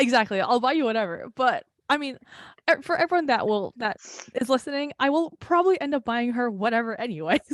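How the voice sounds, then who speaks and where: Very fast and with lively intonation, the speaker talks in a New Jersey accent, in a dry, close sound with no echo. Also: woman, high pitch for a woman. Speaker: podcast co-host. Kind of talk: casual chat.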